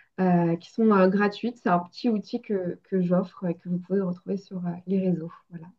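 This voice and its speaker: The delivery has fairly even intonation and hardly any pauses. Loudness swings widely throughout. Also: woman, medium pitch for a woman, moderate pace. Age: 30s. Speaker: medium. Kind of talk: interview. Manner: hesitant, frequent filler sounds.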